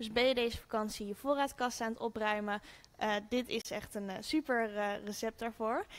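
Her pitch is high for a woman, with ordinary pitch variation. The woman keeps a moderate pace. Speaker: cooking show host. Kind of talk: cooking tutorial. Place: kitchen.

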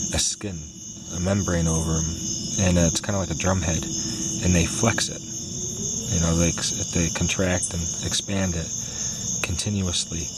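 Loud background noise sits behind a man speaking at a moderate pace. The sound is dry with no echo, and he leaves long, frequent pauses. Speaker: nature videographer. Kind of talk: casual nature talk to camera. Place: garden. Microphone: phone near.

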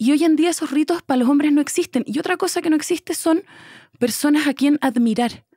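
A woman speaks fairly quickly at high pitch, her tone dark and mellow, her loudness very even. The sound is dry with no echo over a quiet background. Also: ordinary pitch variation. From Chile. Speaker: actress. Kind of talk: casual interview conversation. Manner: talkative. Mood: reflective, candid. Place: studio. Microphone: studio mic.

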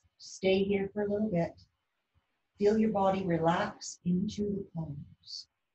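Over light background noise and audible room echo, a woman speaks at a fairly slow pace in a dark, mellow, somewhat breathy tone with ordinary pitch variation. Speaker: yoga instructor. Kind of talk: guided yoga class with calm step-by-step instructions for children. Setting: video lesson, speaking to the camera. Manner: soft, slow, soothing, encouraging; clear, rhythmic cueing paced to breaths. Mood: calm, gentle. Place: home room. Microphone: camera far.

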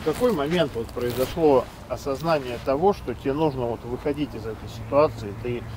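Noticeable background noise is present, and the sound is dry with no echo. A man talks at a moderate pace with ordinary pitch variation. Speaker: host of drug rehabilitation social project. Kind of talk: interview questions. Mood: serious, earnest. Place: waterside. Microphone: lapel.

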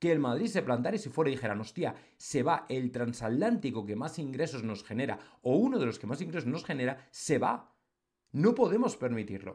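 With an animated tone and very wide pitch swings, a man talks at a fairly quick pace over a quiet background. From Spain. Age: 40s. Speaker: football commentator on online channel. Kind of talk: opinion monologue. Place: home room.

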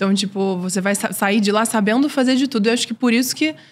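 Fairly quick in pace, the speech has a somewhat breathy sound. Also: woman. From Brazil, Recife-born, raised in Brasília; Brazil. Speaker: singer and writer; podcast guest. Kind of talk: interview. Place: studio. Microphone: studio mic.

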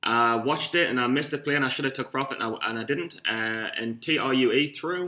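The voice has a bright, sharp tone with a Geordie accent. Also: man. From northern England, Newcastle. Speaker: amateur stock trader vlogger. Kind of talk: casual vlog monologue. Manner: rambling, hesitant with fillers. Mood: self-mocking, a bit rough. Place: home room. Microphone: webcam.

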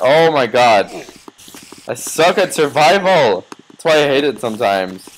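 Over noticeable background noise, a man speaks at a fairly high pitch with very wide pitch swings. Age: young. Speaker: gaming YouTuber. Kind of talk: gameplay commentary. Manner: animated.

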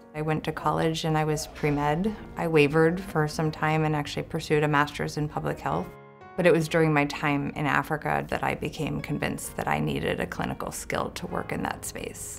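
Over faint background music, a woman talks at a fairly quick pace. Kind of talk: interview answer. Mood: warm, reflective. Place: office.

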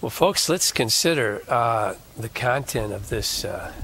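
Dry sound with no echo and light background noise frame a man speaking at a very slow pace with a medium pitch and ordinary pitch variation. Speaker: Bible teacher. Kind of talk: Bible teaching broadcast. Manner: folksy, preacherly. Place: studio. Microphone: lapel.

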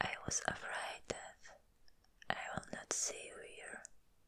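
A woman whispers in a gentle tone. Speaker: ASMR creator. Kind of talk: ASMR roleplay, comforting personal attention with positive affirmations. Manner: soft, gentle, comforting. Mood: caring, reassuring. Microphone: studio mic.

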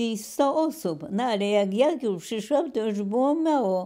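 A woman speaks very slowly in a dark, mellow tone with a fairly high pitch. The background is quiet. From southern Poland, Kraków; southern Poland. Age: 90s. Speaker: retired professor. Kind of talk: oral history interview. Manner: halting. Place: home room.

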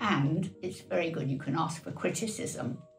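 A woman speaks at a very deep, low pitch. Clear music plays in the background. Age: 80s+. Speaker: artist. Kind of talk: interview answer. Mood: warm, encouraging. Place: home room.

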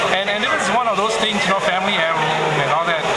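Loud background noise runs behind a man whose pitch varies in an ordinary way. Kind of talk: interview answer. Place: hall. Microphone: phone near.

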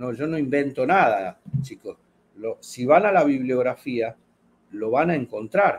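His intonation rises and falls in a lively way. The man keeps to a fairly slow pace. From Argentina. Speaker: fishing channel host. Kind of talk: casual chat. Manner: animated. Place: home room. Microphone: webcam.

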